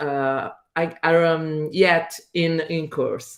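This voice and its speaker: With an Italian accent, a woman speaks at a fairly low pitch. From Italy. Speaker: teacher. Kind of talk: presentation. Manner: halting.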